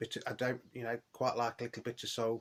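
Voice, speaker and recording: On a very clean recording with a silent background, a man speaks at a fairly quick pace with a medium pitch. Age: 50s. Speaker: record collector YouTuber. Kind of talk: casual vlog monologue. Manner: hesitant, many fillers.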